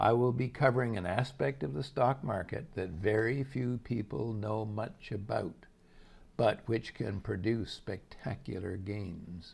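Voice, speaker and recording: This man has a medium-pitched voice that sounds somewhat breathy. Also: ordinary pitch variation, fairly slow pace. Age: 80s+. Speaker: investment analyst and portfolio manager. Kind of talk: scripted market commentary. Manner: measured, formal.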